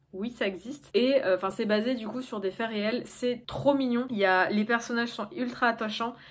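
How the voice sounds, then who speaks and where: A woman talks at a moderate pace with a fairly high pitch. Her pitch variation is ordinary. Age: 20s. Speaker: YouTuber. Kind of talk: casual monologue to camera. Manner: hesitant, many fillers. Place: home room. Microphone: phone near.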